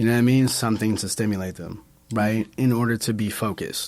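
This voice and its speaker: A man with an American accent speaks at a moderate pace and medium pitch in a dark, mellow tone. The recording is very clean, with a silent background. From Brooklyn, New York. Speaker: bartender. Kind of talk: casual chat.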